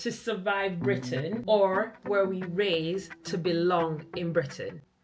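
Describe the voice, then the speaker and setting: Over music in the background, a woman speaks very slowly at a medium pitch. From Jamaica. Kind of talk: podcast conversation.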